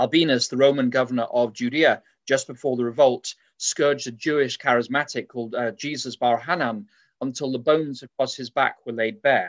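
A man's medium-pitched voice in an English accent, at a fairly quick pace with fairly even intonation. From England. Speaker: preacher. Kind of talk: sermon. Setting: live stream with audience.

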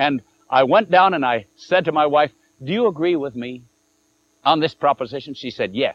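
Long, frequent pauses break up a man's speech, his pitch fairly high and his intonation lively. The sound is dry and close, with no echo. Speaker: preacher. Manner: conversational, with dramatic pauses before punchlines like 'he couldn't answer that'.

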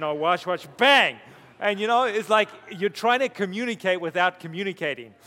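Projecting a raised voice, a man speaks at a high pitch and a moderate pace with lively intonation. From Zimbabwe. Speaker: pastor. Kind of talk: seminar talk. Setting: stage with audience.

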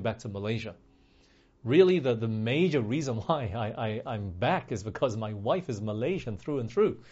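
With an American accent, a man talks at a fairly quick pace. His intonation is lively and his tone slightly mellow.

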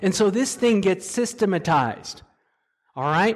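A man talking at a fairly quick pace. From Korean heritage. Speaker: preacher. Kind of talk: sermon.

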